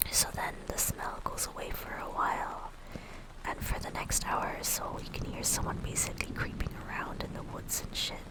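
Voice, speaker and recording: Amid noticeable background noise, the speaker whispers fairly slowly. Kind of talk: creepypasta reading, live-streamed.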